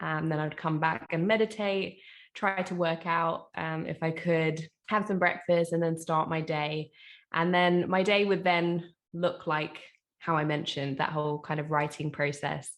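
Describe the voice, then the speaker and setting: A woman with a London accent talks at a fairly slow pace. Her pitch is fairly low and her intonation fairly even. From East London. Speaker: author, spoken word poet and teacher. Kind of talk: interview answer.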